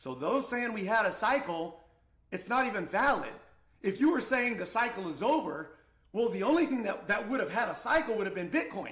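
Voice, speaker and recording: Shouting loudly at a fairly quick pace, a man speaks with a high pitch, an animated tone and lively intonation, with noticeable background noise and audible room echo. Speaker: crypto trading streamer. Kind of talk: live stream market analysis. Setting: live stream. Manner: loud, shouting.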